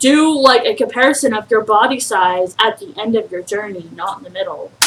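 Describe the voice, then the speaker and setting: The intonation is lively and the pace fairly quick, with noticeable noise in the background. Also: woman, fairly high pitch for a woman, big swings in loudness. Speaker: YouTube reaction commentator. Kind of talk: reaction commentary. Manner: angry-sounding.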